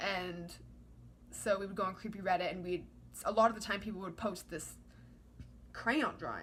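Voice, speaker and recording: Fairly even intonation and vocal fry mark this moderate-paced delivery, broken by long, frequent pauses. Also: woman, medium pitch for a woman. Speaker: vlogger. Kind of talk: casual monologue. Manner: rambling, filler-heavy.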